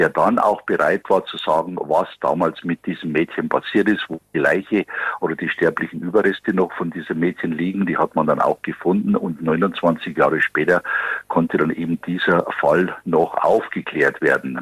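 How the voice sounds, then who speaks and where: In a dry, close sound with no echo, a man talks at a moderate pace. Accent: Bavarian. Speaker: police detective. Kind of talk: interview answer.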